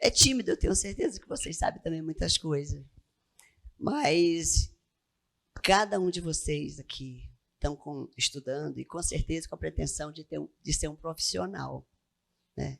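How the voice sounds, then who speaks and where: In an Amazonas accent, a woman talks at a fairly slow pace with long, frequent pauses. Her loudness swings widely. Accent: Amazonas accent, noticeable. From Amazonas, Brazil. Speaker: tax auditor. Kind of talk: lecture.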